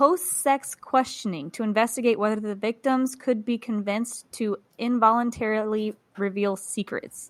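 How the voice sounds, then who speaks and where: Speaking in a normal speaking voice with an American accent, a woman uses a fairly high pitch with ordinary variation at a moderate pace. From US South, Georgia. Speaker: podcast co-host. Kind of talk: casual chat.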